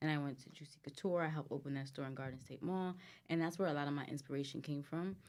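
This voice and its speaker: A woman with an American accent and a very deep, low pitch, at a very fast pace, on a very clean recording with a silent background. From US, New Jersey area, Guyanese family. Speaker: boutique owner, entrepreneur. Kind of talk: casual chat.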